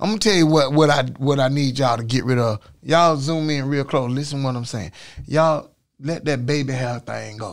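This man's fairly high voice shows ordinary pitch variation as he talks at a fairly quick speed. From Florida, Orlando. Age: 50s. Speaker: podcast host. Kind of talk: casual chat. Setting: studio. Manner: animated.

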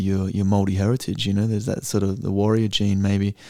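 This man has a fairly low pitch, a dark, mellow tone and fairly even intonation at a very fast pace. The recording is very clean with a silent background. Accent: Australian. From Australia (Perth). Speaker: actor. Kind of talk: casual chat.

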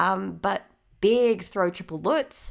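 Marked by vocal fry, a woman speaks at a medium pitch. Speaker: podcast co-host. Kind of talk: casual chat. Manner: animated.

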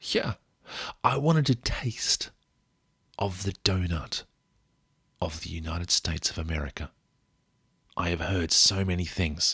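On a very clean recording with a silent background and a dry, close sound with no echo, a man with an Australian accent speaks in a very deep, low pitch with a bright, sharp tone, ordinary pitch variation, and long, frequent pauses. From Australia, rural Victoria. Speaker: podcast host, sleep storyteller. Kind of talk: sleep story narration. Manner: relaxed.

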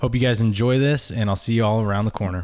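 This man has an unremarkable speaking voice at a fairly low pitch. His intonation stays fairly even. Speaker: host introducing the episode.

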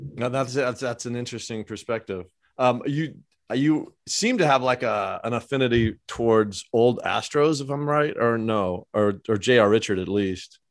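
A man has an unremarkable speaking voice with an American accent. He talks at a moderate pace. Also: medium pitch for a man, ordinary pitch variation. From Los Angeles. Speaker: podcast host. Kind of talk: casual interview.

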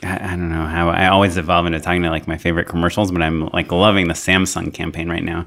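Very deep, low male speech at a very fast pace, flat and monotone, with hardly any pauses and noticeable background noise. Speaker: podcast host, filmmaker. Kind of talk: casual conversational podcast interview.

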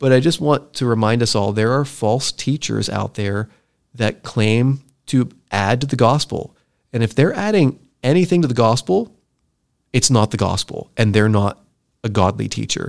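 Here a man talks at a moderate pace in an ordinary speaking voice. His pitch is medium, with ordinary variation. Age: 40s. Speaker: podcast host. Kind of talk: casual chat.

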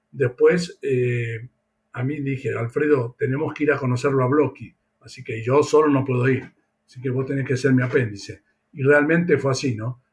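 The speaker's delivery is somewhat breathy, at a moderate pace. The intonation stays fairly even. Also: man, medium pitch for a man. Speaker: veterinarian. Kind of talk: interview.

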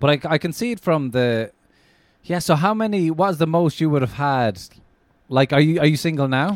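A man with an Irish accent speaks at a moderate pace in a fairly high voice with lively intonation, and the recording is very clean with a silent background. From Ireland. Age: 30s. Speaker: comedian. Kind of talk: casual chat.

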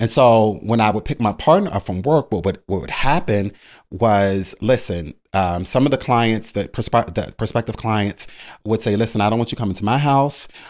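On a very clean recording with a silent background, a man with an American accent uses a normal speaking voice, medium pitch, ordinary pitch variation and a moderate pace. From Baltimore, Maryland. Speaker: brow artist, beauty entrepreneur. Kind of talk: casual interview, storytelling.

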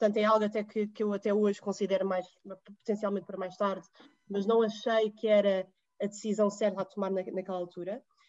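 A woman talks at a medium pitch in a flat, monotone delivery. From Portugal. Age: 20s. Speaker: digital marketing professional. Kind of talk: interview conversation.

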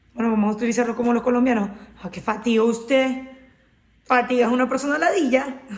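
A woman with a high pitch talks at a very fast pace yet leaves long, frequent pauses, her intonation fairly even. Noticeable background noise and audible room echo fill the recording. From Venezuela, Maracaibo. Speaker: podcast co-host. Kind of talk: casual chat.

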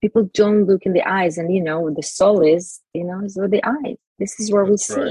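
In an Israeli accent, a woman speaks at a moderate pace with a dark, mellow, somewhat breathy tone. The sound is dry and close, with no echo. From Israel, Jerusalem. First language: Hebrew. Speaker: self esteem mentor and author. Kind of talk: interview. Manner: halting.

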